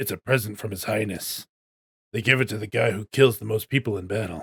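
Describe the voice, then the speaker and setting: A man puts on a raspy character voice, fairly low in pitch and fairly quick. His loudness swings widely, and the sound is dry and close with no echo. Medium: game stream. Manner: blunt, scornful.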